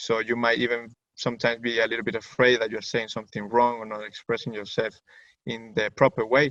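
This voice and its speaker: A man talks very fast in a Spanish accent at a medium pitch. His intonation is monotone and flat, and the sound is dry and close with no echo. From Venezuela. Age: 20s. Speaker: student. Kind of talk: webinar presentation. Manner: halting.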